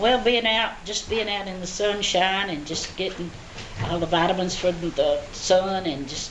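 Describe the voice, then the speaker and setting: A woman with a strong Southern US accent talks at a fairly slow pace in a medium pitch with ordinary pitch variation, amid audible room echo and noticeable background noise. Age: 70s. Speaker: elderly interviewee. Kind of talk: interview answers. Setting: senior center. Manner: halting.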